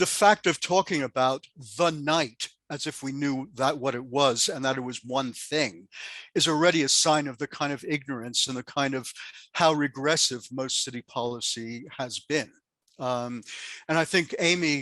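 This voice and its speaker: Against a quiet background with a dry, close sound and no echo, a man with an American accent speaks at a moderate pace, his bright, sharp tone set at a fairly high pitch with ordinary pitch variation. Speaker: sociologist. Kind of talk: panel discussion.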